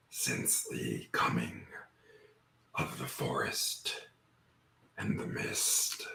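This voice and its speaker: Whispering in a put-on character voice, a man goes at a very slow pace with long, frequent pauses. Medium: actual play. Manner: slow, formal, archaic speech; often chuckling.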